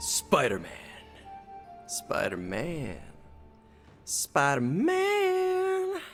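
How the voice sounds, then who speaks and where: A man's put-on character voice at a very slow pace, broken by long, frequent pauses, with clear music in the background. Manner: scary, dramatic.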